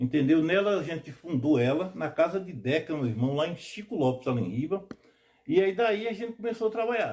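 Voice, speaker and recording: His voice fairly high and his pitch leaping very widely, a man talks at a moderate tempo. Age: 60s. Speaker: quilombo community leader. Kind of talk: documentary interview testimony.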